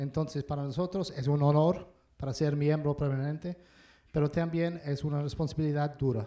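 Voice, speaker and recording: With an English accent, a man talks in a dark, mellow tone and fairly even intonation, in a very clean recording with a silent background. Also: fairly high pitch for a man, moderate pace. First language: English (speaking Spanish). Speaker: ambassador. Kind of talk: panel talk.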